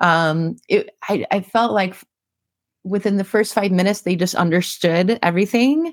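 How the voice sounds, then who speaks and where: In a very clean recording with a silent background, a woman speaks at a medium pitch and moderate pace in a plain, everyday voice, with ordinary pitch variation and big swings in loudness. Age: 40s. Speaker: editorial director and blogger. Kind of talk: interview.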